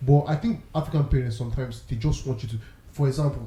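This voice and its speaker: A man's very fast delivery at a medium pitch, somewhat breathy, with a dark, mellow tone and ordinary pitch variation. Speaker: podcast co-host. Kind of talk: casual chat.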